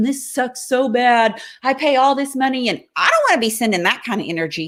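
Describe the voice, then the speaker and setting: A woman's high, bright, sharp voice with lively intonation, on a very clean recording with a silent background. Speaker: motivational coach running workshops. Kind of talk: live stream talk to viewers. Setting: home office livestream. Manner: fast; animated, rambling on a roll.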